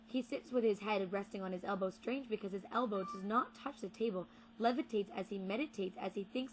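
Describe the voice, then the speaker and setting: Her pace is very fast and her voice somewhat breathy. This woman keeps a medium pitch with fairly even intonation. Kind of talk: poetry reading.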